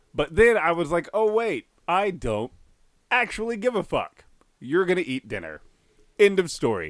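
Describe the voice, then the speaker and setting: A man with an American accent speaks at a moderate pace in a high voice with very wide pitch swings. His pauses are long and frequent. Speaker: podcast co-host. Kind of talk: casual chat.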